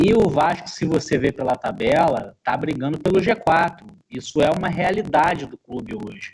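A man with lively intonation. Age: 40s. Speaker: football pundit. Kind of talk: casual sports discussion.

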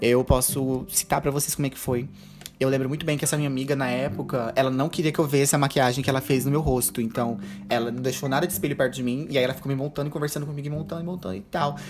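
A man speaks at a very fast pace in an animated tone, his pitch fairly high, with noticeable background noise behind him. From Brazil, interior of Rondônia (Ariquemes). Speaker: podcast host and drag queen. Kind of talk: casual solo monologue. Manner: animated, frequent laughter.

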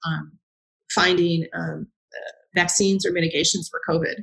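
A woman speaks with vocal fry. Her intonation stays fairly even. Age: 50s. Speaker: cloud and data technical educator and consultant. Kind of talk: casual interview.

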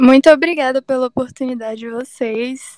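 Recorded dry and close with no echo, a woman speaks at a moderate pace in a high pitch. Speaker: computer engineering student. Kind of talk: casual interview.

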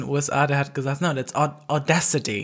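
A woman is speaking. Her pitch is very deep and low, and her pace is moderate. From Alpine village region. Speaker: podcast co-host. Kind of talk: casual chat.

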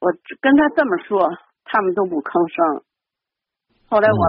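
Her pitch leaping very widely, a woman keeps to a moderate speed. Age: 70s. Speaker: caller. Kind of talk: call-in advice talk. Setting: phone call.

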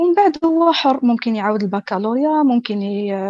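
Recorded dry and close with no echo, a woman with an ordinary speaking voice talks at a moderate pace with a fairly high pitch. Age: young. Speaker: journalist. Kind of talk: interview.

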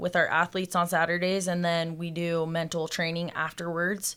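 In a very clean recording with a silent background, a woman with an American accent speaks at a fairly low pitch and moderate pace in a bright, sharp tone. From Salt Lake City, Utah. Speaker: personal trainer and gym co-owner. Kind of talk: podcast interview.

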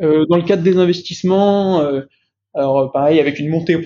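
A man's fairly high voice, very fast, with fairly even intonation. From France, Lyon. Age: 20s. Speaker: junior private equity investment officer. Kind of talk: interview. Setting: remote recording. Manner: halting, repeats words.

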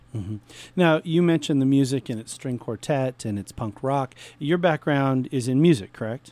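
Over a very clean recording with a silent background, a man speaks at a moderate pace in a medium pitch with a dark, mellow tone and a dry, close sound with no echo. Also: ordinary pitch variation, big swings in loudness. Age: 40s. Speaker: radio host. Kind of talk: radio interview. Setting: radio studio.

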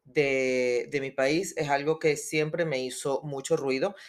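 Very deep and low, a woman's voice moves at a fairly slow pace. The recording is very clean, with a silent background. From Venezuela. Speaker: podcast co-host, entrepreneur. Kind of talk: interview, casual chat.

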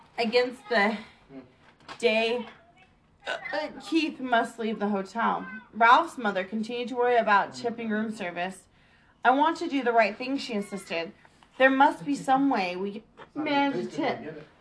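With lively intonation and a fairly high pitch, a woman speaks at a fairly slow pace, leaving long, frequent pauses amid noticeable background noise. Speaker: storyteller reading children's book aloud. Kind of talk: reading aloud. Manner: halting, self-correcting.

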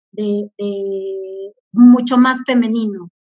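Somewhat breathy, a woman speaks with a fairly high pitch. Her intonation stays fairly even. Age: 40s. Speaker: corporate communications director. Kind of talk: interview.

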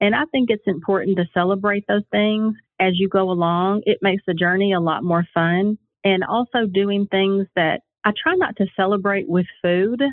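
A woman speaks at a moderate pace in a plain, everyday voice. Her pitch is medium, with ordinary variation. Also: very even loudness. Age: 40s. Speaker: health coach. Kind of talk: casual interview. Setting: phone call.

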